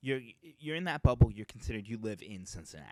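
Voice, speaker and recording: In a dark, mellow tone with an American accent, the speaker uses lively intonation at a moderate pace, in a dry, close sound with no echo. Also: man. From Boston area, Metro West. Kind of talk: casual chat.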